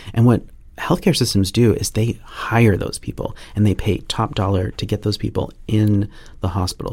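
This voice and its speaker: A man with an American accent, fairly low in pitch and somewhat breathy, with ordinary pitch variation at a moderate pace. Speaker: penetration testing manager. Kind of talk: podcast interview. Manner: halting, many fillers and restarts.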